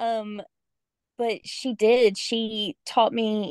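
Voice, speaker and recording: A Southern US accent in a dry, close sound with no echo. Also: woman. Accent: Southern American. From Georgia, US South. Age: 40s. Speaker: special education teacher, grieving daughter. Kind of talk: personal testimony in interview.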